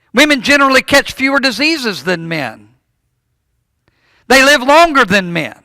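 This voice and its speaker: In a raised, projected voice with a bright, sharp tone, a man speaks at an extremely high pitch and a moderate pace, leaving long, frequent pauses. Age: 60s. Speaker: preacher. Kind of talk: sermon. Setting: church. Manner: halting, repeats words.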